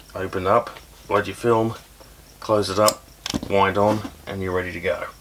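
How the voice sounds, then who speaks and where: A man's fairly low voice with fairly even intonation, over noticeable background noise. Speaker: camera reviewer, YouTuber. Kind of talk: casual product review. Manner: quiet, soft-spoken; casual, hesitant with fillers.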